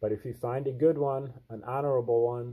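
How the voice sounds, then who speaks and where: A man talks with fairly even intonation at a moderate pace, and the background is quiet. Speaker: channel host. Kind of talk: reading aloud with commentary. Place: home room. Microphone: webcam.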